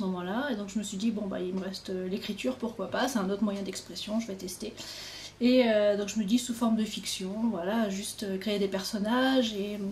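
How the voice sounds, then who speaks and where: A woman's medium-pitched voice at a moderate pace, ordinary pitch variation, noticeable background noise. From Normandy, France. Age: 20s. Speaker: author. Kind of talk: casual interview by phone.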